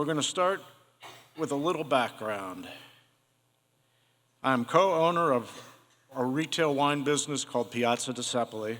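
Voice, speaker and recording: With a Midwestern American accent, a man speaks at a fairly high pitch and a moderate pace, with ordinary pitch movement and long, frequent pauses. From Ohio, Cincinnati. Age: 60s. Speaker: Parkinson's patient, wine store owner. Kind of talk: prepared talk to an audience.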